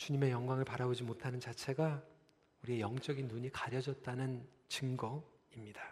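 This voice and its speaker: The man talks at a moderate pace in a medium, somewhat breathy voice. His intonation is flat and monotone. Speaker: pastor. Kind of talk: sermon. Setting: church. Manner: calm, measured.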